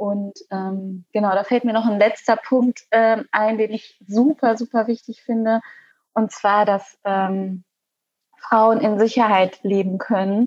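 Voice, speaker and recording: A woman speaks very slowly at a fairly high pitch in a flat monotone, the sound dry and close with no echo. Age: 20s. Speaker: Green party parliamentary candidate. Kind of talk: casual interview. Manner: halting, many fillers.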